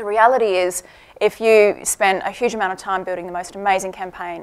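A woman's voice in a monotone, flat intonation. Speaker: conference speaker. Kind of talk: conference talk. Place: hall. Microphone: podium.

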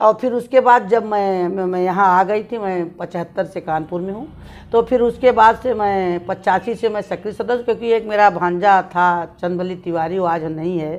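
The woman talks at a moderate pace with ordinary pitch variation. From eastern Uttar Pradesh, India (Jaunpur); Uttar Pradesh, India. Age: 60s. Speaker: city mayor, politician. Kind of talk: interview. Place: home room.

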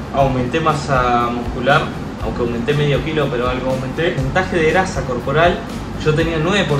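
Music plays in the background as a man talks. He keeps a fairly quick pace with ordinary pitch variation. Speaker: vlogger. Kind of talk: casual vlog chat. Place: home room. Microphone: phone near.

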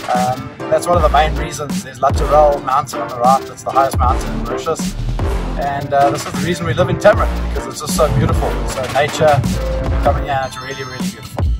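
Loud music plays in the background. Over it, a man talks at a very fast pace. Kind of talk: casual vlog commentary. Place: car. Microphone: phone near.

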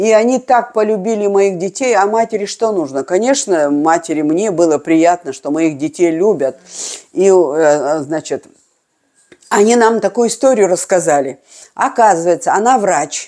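Delivered at a fairly slow pace, the voice has a dark, mellow tone and lively intonation against a quiet background. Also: woman. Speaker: video blogger. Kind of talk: reminiscing monologue. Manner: halting. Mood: animated, emotional storytelling. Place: home room. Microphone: lapel.

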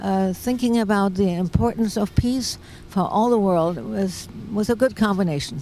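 In a German accent, a woman speaks at a medium pitch with a dark, mellow tone. The sound is dry with no echo, and there is light background noise. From Germany. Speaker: peace activist. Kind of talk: interview; interview answer. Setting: outdoors. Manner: hesitant, many fillers. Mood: warm, reflective. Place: open country. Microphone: handheld.

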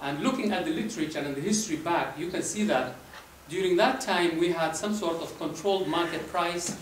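Over light background noise and audible room echo, a man talks at a fairly quick pace. His pitch is high and his intonation lively. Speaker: presenter. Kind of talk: lecture. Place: hall.

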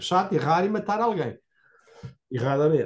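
The speaker has a European Portuguese accent and very wide pitch swings. The background is quiet. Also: man. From Portugal. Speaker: moderator for anti-corruption nonprofit. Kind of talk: online seminar discussion. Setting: video call. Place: home room. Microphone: video call.

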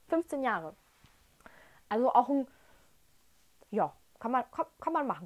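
Over a quiet background, a woman with a high pitch talks in an animated, enthusiastic tone at a fairly slow pace, with very wide pitch swings and long, frequent pauses. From Germany, Dresden (Saxony); Saxony, Germany. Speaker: whisky tasting vlogger. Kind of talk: casual tasting vlog. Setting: at home in front of shelf. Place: home room. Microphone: lapel.

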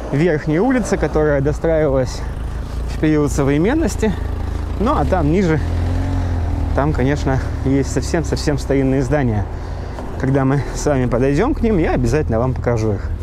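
A man speaks at a moderate pace, with very even loudness and long, frequent pauses. The sound is dry with no echo, and background noise is noticeable. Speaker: local guide, vlogger. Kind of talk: walking tour commentary. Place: street. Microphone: phone near.

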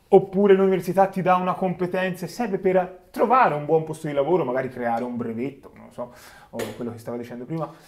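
Very fast and high-pitched, a man speaks with lively intonation and big swings in loudness. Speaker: podcast host. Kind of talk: interview. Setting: studio. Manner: casual. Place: studio. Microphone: studio mic.

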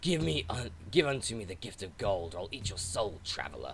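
Over clear background noise, a man does a put-on character voice at a fairly low pitch and a moderate pace. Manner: menacing.

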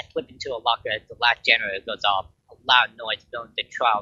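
Plain reading aloud is heard against a quiet background.

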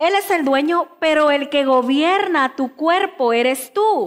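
Quiet surroundings, a woman's voice, ordinary pitch variation. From Mexico, Chiapas (Tuxtla Gutiérrez), raised in Veracruz from age 11; Chiapas, Mexico. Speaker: pastor. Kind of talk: sermon. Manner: emphatic, repetitive preaching. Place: church.

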